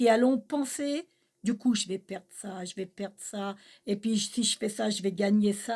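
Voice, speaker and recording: A woman talks fairly slowly in a somewhat breathy, medium-pitched voice with ordinary pitch variation. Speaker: spiritual channel co-host. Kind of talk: spiritual teaching conversation.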